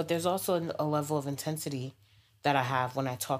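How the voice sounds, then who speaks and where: Fairly quick speech from a woman with an American accent, ordinary pitch variation, on a very clean recording with a silent background. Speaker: podcast host. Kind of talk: casual conversation about race.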